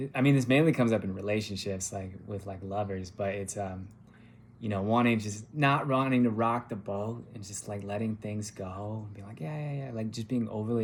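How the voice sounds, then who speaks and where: A man with a Californian accent speaks at a moderate pace and a fairly low pitch. His intonation is fairly even, but his loudness swings widely. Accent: General American (Californian). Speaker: massage therapist. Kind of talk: interview answers, casual. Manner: halting, many fillers.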